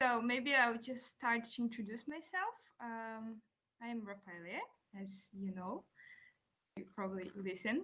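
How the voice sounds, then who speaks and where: Delivered with a Portuguese accent at a fairly slow pace, the speech has long, frequent pauses. Loudness swings widely while the pitch varies in an ordinary way. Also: woman. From Brazil. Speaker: music student and composer. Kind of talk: conference presentation. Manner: halting.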